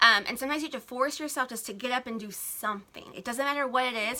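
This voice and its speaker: This woman has a high-pitched voice. She talks very fast. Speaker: blogger and small business coach. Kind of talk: live stream talk to viewers. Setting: home, Instagram live.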